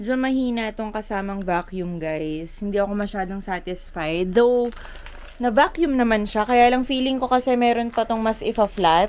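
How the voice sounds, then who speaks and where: Noticeable background noise sits behind a woman speaking at a moderate pace in a fairly high voice with ordinary pitch variation. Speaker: vlogger, flight attendant. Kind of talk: casual vlog.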